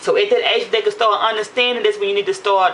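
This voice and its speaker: Over noticeable background noise, a woman talks at a fairly quick pace in an animated tone. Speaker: vlogger. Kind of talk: casual monologue to camera. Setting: at home after a shower. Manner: fast.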